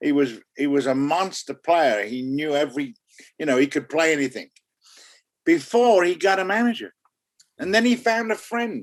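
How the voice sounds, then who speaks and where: Long, frequent pauses break up a man's speech at a moderate pace. His fairly high pitch swings very widely. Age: 70s. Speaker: music manager. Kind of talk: interview.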